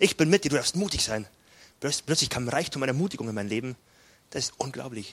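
With a Bavarian accent, a man of medium pitch talks at a very fast pace with lively intonation and long, frequent pauses, the sound dry and close with no echo. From southern Bavaria, near Salzburg. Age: 20s. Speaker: pastor. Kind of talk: sermon.

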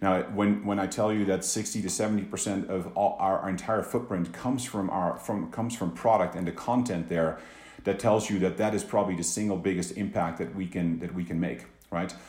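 Fairly quick speech from a man with a Dutch accent, fairly low in pitch with ordinary variation, in audible room echo. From Netherlands, Amsterdam. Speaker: business executive. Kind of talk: interview. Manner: halting, many repeated words.

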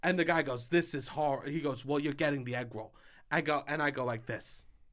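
A man talks loudly at a fairly quick pace, his bright, sharp tone animated, in a very clean recording with a silent background. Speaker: podcast co-host. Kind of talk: casual chat.

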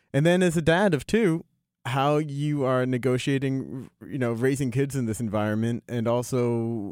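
With an unremarkable speaking voice, a man talks at a moderate pace and medium pitch, his pitch varying in an ordinary way, in a dry, close recording with no echo. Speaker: podcast host. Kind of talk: interview.

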